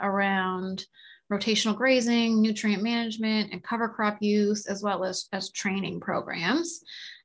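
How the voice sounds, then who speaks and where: Against a quiet background, a woman with a Maritime Canadian accent speaks at a fairly high pitch. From Nova Scotia, Canada. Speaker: agricultural scientist. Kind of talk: interview.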